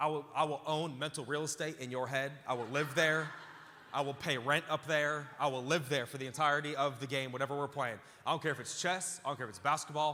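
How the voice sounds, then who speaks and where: Loud and animated, a man speaks very fast in a bright, sharp tone at a fairly high pitch. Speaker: pastor. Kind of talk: sermon. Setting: church with live audience.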